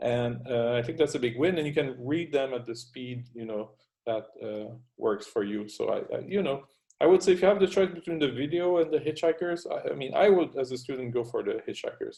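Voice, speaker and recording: Speaking with a French Canadian accent, a man has a dark, mellow tone. He talks at a fairly quick pace with lively intonation. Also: fairly high pitch for a man. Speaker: university lecturer. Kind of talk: lecture. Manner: halting, many fillers.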